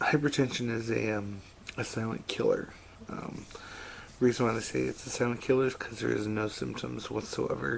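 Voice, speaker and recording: At a moderate pace, a man speaks quietly. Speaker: vlogger. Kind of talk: personal vlog about health. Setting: home at 3am. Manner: speaking quietly; halting, many fillers.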